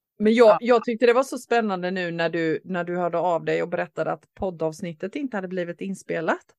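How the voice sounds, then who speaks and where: A woman's plain, everyday voice at a medium pitch, with hardly any pauses. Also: ordinary pitch variation, fairly quick pace, dry, close sound with no echo. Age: 50s. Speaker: podcast co-host. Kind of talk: casual chat. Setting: sitting on the floor in a cottage.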